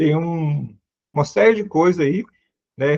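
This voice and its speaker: The sound is dry and close with no echo as a man speaks, somewhat breathy, at a fairly slow pace. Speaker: seminary lecturer. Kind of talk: lecture.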